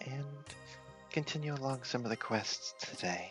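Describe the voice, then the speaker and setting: Over music in the background, a man whispers at a moderate pace. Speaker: gaming ASMR creator. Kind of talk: ASMR gameplay commentary. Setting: headset microphone. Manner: whispered.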